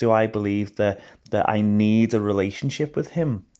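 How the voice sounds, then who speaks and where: Against a quiet background, a man with a Liverpool accent speaks at a moderate pace in a dark, mellow tone, fairly low in pitch and fairly even in intonation. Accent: Scouse (Liverpool). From Liverpool, England. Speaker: missions worker. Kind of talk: interview. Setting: voice notes.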